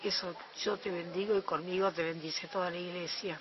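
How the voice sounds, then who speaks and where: In a Rioplatense accent, a woman with a medium pitch speaks at a moderate pace over noticeable background noise. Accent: Argentine Rioplatense Spanish. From Argentina, Buenos Aires. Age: 60s. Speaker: eyewitness. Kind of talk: testimony.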